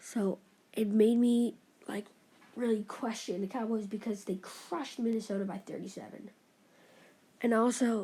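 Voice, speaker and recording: The speaker mumbles quietly at a fairly slow pace. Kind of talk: casual talk to camera, sports commentary while gaming. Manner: mumbling; quiet, hushed.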